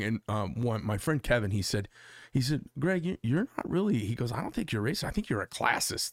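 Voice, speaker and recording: In a very clean recording with a silent background, a man with an unremarkable speaking voice and an American accent talks at medium pitch and a fairly quick pace, the sound dry and close with no echo. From Arizona, Phoenix. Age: 50s. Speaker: podcast host. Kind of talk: casual chat. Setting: studio.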